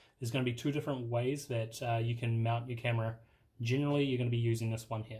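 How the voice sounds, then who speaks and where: Over music in the background, a man speaks very fast at a medium pitch in a monotone, flat intonation. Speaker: tech youtuber. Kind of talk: tutorial. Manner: casual.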